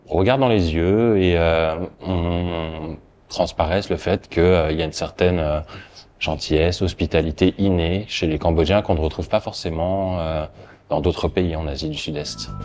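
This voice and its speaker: Here a man speaks at a fairly slow pace. His pitch is very deep and low. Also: ordinary pitch variation. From France. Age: 30s. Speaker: hotel and office park manager. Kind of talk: interview testimony. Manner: halting, many hesitations.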